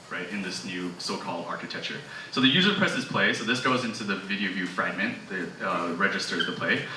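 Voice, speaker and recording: A man at a fairly quick pace with ordinary pitch variation, audible room echo and noticeable background noise. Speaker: software engineer giving a tech talk. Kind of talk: technical presentation. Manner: fast.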